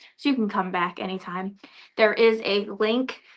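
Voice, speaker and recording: Against a quiet background, a woman speaks at a moderate pace and medium pitch with a bright, sharp tone. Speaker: livestream presenter for a quilting supplies distributor. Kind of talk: live product showcase stream. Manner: loud.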